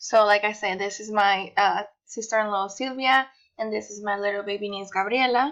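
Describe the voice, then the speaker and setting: Against a quiet background, a woman with a Mexican accent talks at a moderate pace and medium pitch, her intonation fairly even and her loudness swinging widely. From Mexico, Guadalajara. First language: Spanish. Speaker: university student. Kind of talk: personal presentation.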